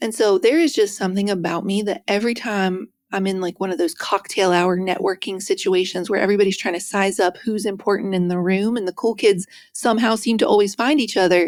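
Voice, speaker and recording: The recording is very clean, with a silent background. A woman speaks fairly quickly at a medium pitch with ordinary pitch variation. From West Virginia. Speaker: author and speaker. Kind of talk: interview. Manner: soft-spoken.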